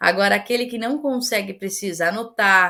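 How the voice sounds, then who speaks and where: A woman's normal speaking voice at a fairly slow pace, fairly even in intonation, in a very clean recording with a silent background. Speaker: course instructor. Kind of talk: lecture.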